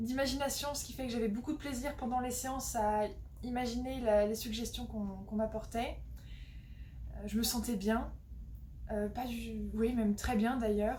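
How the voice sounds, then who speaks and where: A woman speaks at a fairly slow pace with long, frequent pauses, with noticeable background noise and audible room echo around her. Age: 20s. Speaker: hypnotherapy client, student. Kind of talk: testimony. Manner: halting, many hesitations.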